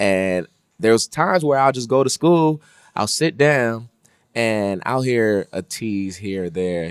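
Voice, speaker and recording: The sound is dry and close with no echo, on a very clean recording with a silent background. A man's voice moves through very wide pitch swings. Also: big swings in loudness. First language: Haitian Creole. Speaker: podcast co-host. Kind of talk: casual podcast conversation.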